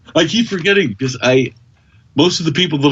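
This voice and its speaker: A man with an American accent talks at a very fast pace, his intonation lively. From US, Kentucky. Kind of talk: casual podcast interview. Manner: animated.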